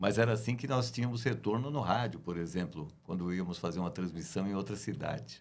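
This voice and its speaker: An unremarkable speaking voice from a man, fairly low in pitch, with lively intonation and hardly any pauses. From Brazil, Guarulhos (São Paulo). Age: 60s. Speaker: radio announcer and journalist. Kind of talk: interview.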